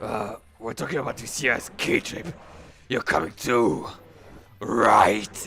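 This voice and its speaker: A raspy, put-on character voice from a man, medium in pitch, fairly slow, with long, frequent pauses. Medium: virtual streamer. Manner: casual, friendly.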